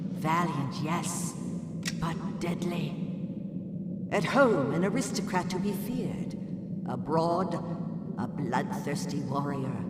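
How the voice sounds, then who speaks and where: A cartoonish character voice at a fairly slow pace, with clear echo and clear background noise. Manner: formal, measured.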